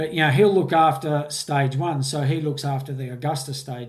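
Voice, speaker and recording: A man with an Australian accent speaks at a moderate pace in a fairly high, somewhat breathy voice, his intonation flat and monotone, on a very clean recording with a silent background. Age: 60s. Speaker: mountain bike course designer. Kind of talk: interview. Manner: halting, repeats words.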